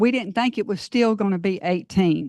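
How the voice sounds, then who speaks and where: Against a quiet background, a woman speaks with a Georgia accent. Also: dry, close sound with no echo. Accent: US Southern (Georgia). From Georgia, Forest Park area. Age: 60s. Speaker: resident speaking at public comment. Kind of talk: public comment at council meeting. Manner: halting.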